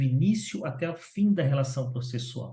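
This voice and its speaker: The voice, dark and mellow in tone and somewhat breathy, proceeds at a fairly slow pace. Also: man. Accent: Brazilian. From Brazil. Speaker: lawyer. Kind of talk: interview. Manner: animated.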